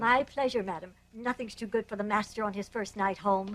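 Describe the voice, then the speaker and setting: A female-sounding put-on character voice at medium pitch moves at a fairly quick pace. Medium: fan dub. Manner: deferential.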